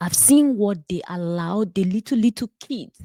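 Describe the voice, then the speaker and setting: A woman with a Nigerian accent has a dark, mellow, somewhat breathy tone, heard in a dry, close sound with no echo. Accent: Nigerian, noticeable. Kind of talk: personal testimony with sermon-style reflection.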